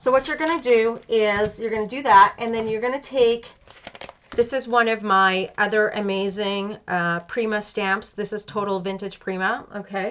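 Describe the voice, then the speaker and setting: Noticeable background noise sits behind a woman's fairly high voice. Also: ordinary pitch variation, moderate pace. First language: Spanish. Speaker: crafts tutorial host. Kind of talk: live craft tutorial. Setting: live stream. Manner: casual, chatty with fillers.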